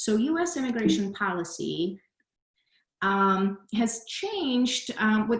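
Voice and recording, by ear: A woman speaks at a medium pitch. Audible echo from the room surrounds her voice.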